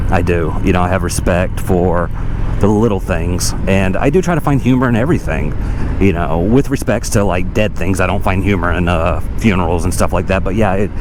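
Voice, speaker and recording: This man speaks at a fairly quick pace in a very deep, low voice with very even loudness. Noticeable background noise and audible room echo are present. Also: ordinary pitch variation. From Germany, military family, moved to US at ten. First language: German. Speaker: motorcycle vlogger. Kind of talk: casual vlog monologue while riding. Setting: outdoors on a motorcycle.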